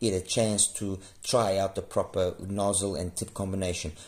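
Somewhat breathy and fairly low-pitched, a man speaks at a moderate pace with monotone, flat intonation. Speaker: earphone reviewer. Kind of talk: product review commentary.

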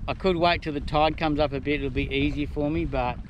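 A man speaks at a moderate pace. The sound is dry with no echo, though background noise is noticeable. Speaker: solo kayak angler vlogger. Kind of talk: casual vlog chat. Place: boat. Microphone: phone near.

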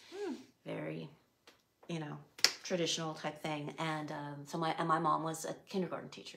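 Against loud background noise, a woman with an American accent talks at a moderate pace with long, frequent pauses. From US West Coast, San Diego (Chula Vista); California. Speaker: artist and former art teacher; former art teacher. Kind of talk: interview. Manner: thoughtful. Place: home room.

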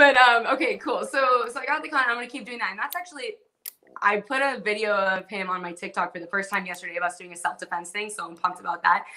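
Over a quiet background, the speech races along at a very fast pace with lively intonation and big swings in loudness. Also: woman, fairly high pitch for a woman. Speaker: martial arts fighter; guest. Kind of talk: casual chat. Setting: video call. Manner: excitable. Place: home room. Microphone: video call.

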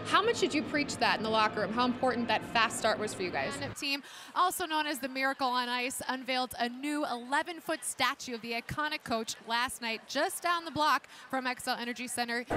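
Over noticeable background noise, a woman talks at a fairly quick pace with ordinary pitch variation in a dry sound with no echo. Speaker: news anchor and sports reporter. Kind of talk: sports reporting.

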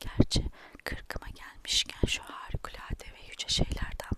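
Someone is whispering at a fairly slow pace. Noticeable background noise can be heard. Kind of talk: whispered ASMR book reading. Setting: ASMR recording, close microphone. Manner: whispered, soft.

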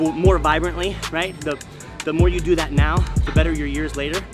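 Loud music plays in the background while a man talks at a moderate pace. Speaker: fitness vlogger. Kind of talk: casual vlog chat. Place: gym. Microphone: phone near.

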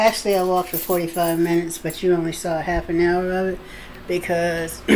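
A woman with a fairly low pitch talks at a moderate pace amid noticeable background noise. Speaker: vlogger. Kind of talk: casual vlog chat. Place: kitchen.

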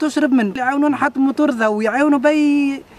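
Speaking fairly quickly with a central Tunisian accent, a man uses an extremely high pitch with ordinary variation, and noticeable noise runs behind him. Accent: rural central Tunisian Arabic. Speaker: villager, cousin of accident victim. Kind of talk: on-site interview complaint to local radio.

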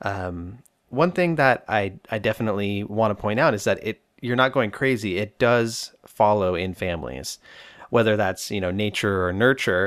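A normal speaking voice from a man, fairly low in pitch, with ordinary pitch variation. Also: moderate pace. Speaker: therapist and podcast host. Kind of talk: solo podcast monologue answering listener questions. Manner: casual, humorous, informal.

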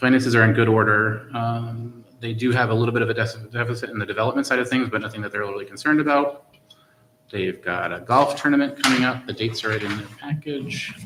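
A man talks at a very fast pace, pitched in the medium range. His intonation stays fairly even. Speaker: school committee member. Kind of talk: committee meeting report.

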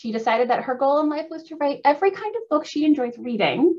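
A woman speaks with ordinary pitch variation over a quiet background. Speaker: librarian. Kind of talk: event host introduction. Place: home room.

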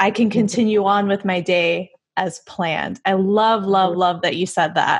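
Against a quiet background, a woman with a normal speaking voice and medium pitch talks at a fairly slow pace, her intonation fairly even and her loudness very even. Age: 20s. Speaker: podcast co-host. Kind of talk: casual interview. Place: home room. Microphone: studio mic.

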